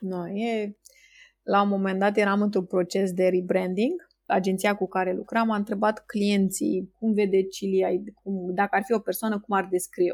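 In a very clean recording with a silent background, a woman speaks at a moderate pace in a flat monotone. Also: medium pitch for a woman. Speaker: entrepreneur. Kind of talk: interview.

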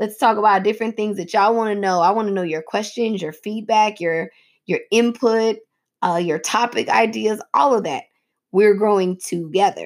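A woman with a fairly high voice speaks at a moderate pace in an animated tone, her pitch varying in an ordinary way, on a very clean recording with a silent background. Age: 30s. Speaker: podcast host and preacher. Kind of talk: casual chat.

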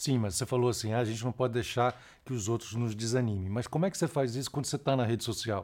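In a very clean recording with a silent background, a man with a medium-pitched voice talks at a very fast pace. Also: ordinary pitch variation. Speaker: podcast host. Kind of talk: casual interview chat.

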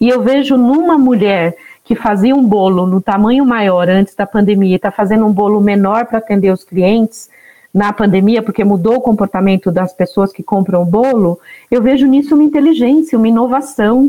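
With a normal speaking voice, this woman's fairly high pitch rises and falls in an ordinary way as she keeps a moderate pace. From Northeast Brazil (Alagoas interior). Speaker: founder of a women entrepreneurs network. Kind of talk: podcast interview.

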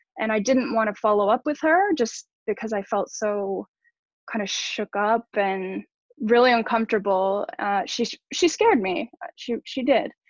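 Speaking at a moderate pace, a woman uses a normal speaking voice with ordinary pitch variation. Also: fairly high pitch for a woman. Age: 30s. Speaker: former yacht crew. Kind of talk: testimony.

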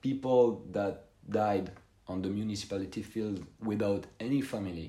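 In a French accent, a man with a dark, mellow tone and fairly low pitch speaks at a fairly slow pace with ordinary pitch variation and audible room echo. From France. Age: 20s. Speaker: former cemetery worker. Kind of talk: interview. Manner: halting, many fillers.

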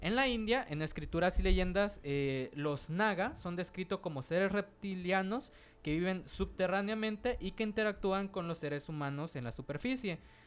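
A man's high-pitched voice, lively in intonation, with hardly any pauses. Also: moderate pace. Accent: Mexican. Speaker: podcast co-host. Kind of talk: casual chat.

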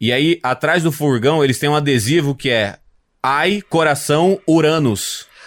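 In an ordinary speaking voice, a man with a fairly high pitch keeps his loudness very even on a very clean recording with a silent background. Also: ordinary pitch variation, fairly slow pace. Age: 30s. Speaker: comedian. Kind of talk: casual chat.

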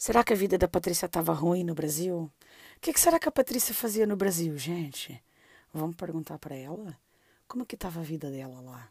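A woman with a fairly low voice talks at a fairly quick pace, her intonation lively and her loudness swinging widely. The sound is dry and close, with no echo. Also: very clean recording, silent background. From southern Brazil (Londrina, Paraná; early years São Paulo). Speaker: podcast host. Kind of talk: casual interview chat. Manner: animated.

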